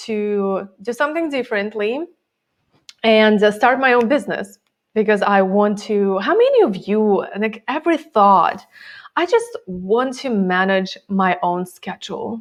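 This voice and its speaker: Fairly high in pitch, a woman with a Russian accent talks at a fairly slow pace with ordinary pitch variation. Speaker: time management coach. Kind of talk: interview.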